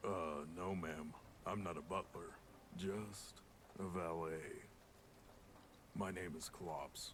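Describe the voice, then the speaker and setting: Clear background noise sits behind a man using a put-on character voice at a very deep, low pitch. He talks at a fairly slow pace with long, frequent pauses. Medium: video game. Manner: slow, hesitant.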